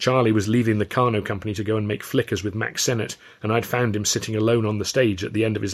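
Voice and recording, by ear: A passage is read aloud in a natural voice.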